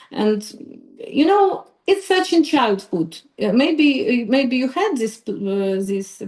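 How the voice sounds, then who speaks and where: Lively intonation from a woman with a non-native accent. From Ukraine. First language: Ukrainian. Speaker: psychologist. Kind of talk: podcast interview. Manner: halting, many fillers.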